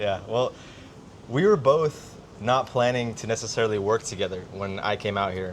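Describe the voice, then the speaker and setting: At a moderate pace, a man with an American accent speaks in a plain, everyday voice of medium pitch. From United States. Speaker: business coach, podcast co-host. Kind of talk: casual chat.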